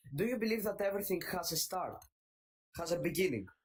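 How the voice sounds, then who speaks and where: This man talks very fast, with a high pitch and a Greek accent. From Greece. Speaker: caller. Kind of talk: debate. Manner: halting.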